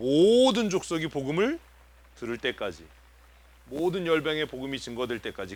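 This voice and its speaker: His pitch sits fairly high for a man. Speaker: pastor. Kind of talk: sermon. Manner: fast.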